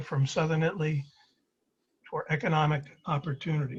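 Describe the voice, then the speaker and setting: A man speaks with a New York accent at a moderate pace. His pitch is fairly high and his intonation fairly even. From Brooklyn, New York (Flatbush). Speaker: presenter sharing personal story. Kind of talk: presentation over video call. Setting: video call.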